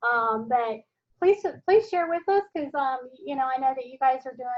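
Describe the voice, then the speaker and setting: A woman with an American accent speaks at a moderate pace in a high voice, her intonation lively. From US South. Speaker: professor. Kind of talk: online class meeting. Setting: video call. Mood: warm, encouraging. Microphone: video call.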